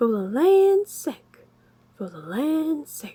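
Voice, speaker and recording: A put-on, female-sounding character voice, high-pitched and very slow, with very wide pitch swings in a Southern US accent. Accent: Southern American drawl. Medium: read story.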